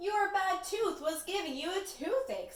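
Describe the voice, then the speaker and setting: A woman does a put-on character voice at an extremely high pitch. She keeps a moderate pace, with a slight echo. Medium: read story.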